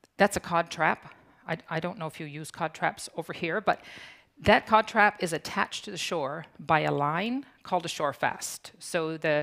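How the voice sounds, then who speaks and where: With a Newfoundland accent, a woman speaks at a moderate pace and a fairly low pitch. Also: ordinary pitch variation. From Newfoundland, Canada (Fogo Island). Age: 60s. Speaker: conference speaker, founder of a community organization. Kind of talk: conference talk.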